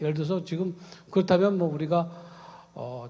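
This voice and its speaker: Amid audible room echo, a man talks with a fairly high pitch. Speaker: ethics professor. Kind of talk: conference talk. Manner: halting, many fillers; fast.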